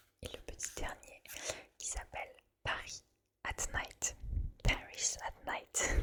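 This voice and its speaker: Very slow whispering with long, frequent pauses. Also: woman. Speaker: ASMR creator. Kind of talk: poetry reading. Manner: whispered.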